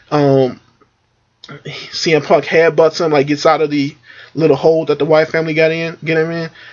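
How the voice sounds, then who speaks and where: Speech moves at a fairly quick pace in a flat, monotone intonation, broken by long, frequent pauses. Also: man, fairly high pitch for a man. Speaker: wrestling reviewer. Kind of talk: casual review monologue. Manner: filler-heavy, halting.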